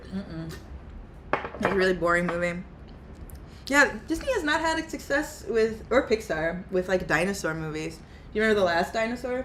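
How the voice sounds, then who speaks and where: With an American accent, a woman speaks at a fairly quick pace and medium pitch, her voice making very wide pitch swings, broken by long, frequent pauses over noticeable background noise. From US Midwest, Kansas City. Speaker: artist streamer. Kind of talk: casual chat. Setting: livestream.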